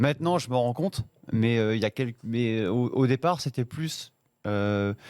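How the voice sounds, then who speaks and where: The sound is dry and close, with no echo. The speech moves at a fairly quick pace. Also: man. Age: 40s. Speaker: wedding and event DJ. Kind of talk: interview. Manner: casual, hesitant with fillers.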